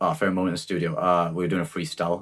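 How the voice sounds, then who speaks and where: On a very clean recording with a silent background, a man with a slight Welsh accent speaks at a very deep, low pitch. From South Wales Valleys. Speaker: rapper. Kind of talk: casual chat. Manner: halting.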